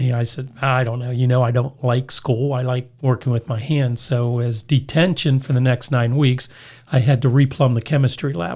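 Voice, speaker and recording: In an American accent, a man speaks at a moderate pace with a somewhat breathy, dark, mellow tone, medium pitch and fairly even intonation. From US, Pittsburgh area, western Pennsylvania. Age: 60s. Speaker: hardware store owner and radio show host. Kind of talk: casual interview, storytelling.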